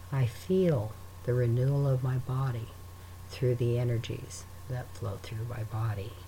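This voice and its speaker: A man speaks at a fairly slow pace in a normal speaking voice. His pitch is medium, with ordinary pitch variation. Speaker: meditation guide. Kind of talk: guided meditation. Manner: slow, calm, soothing and unhurried, with long pauses between breaths; gentle, soft-spoken, reassuring.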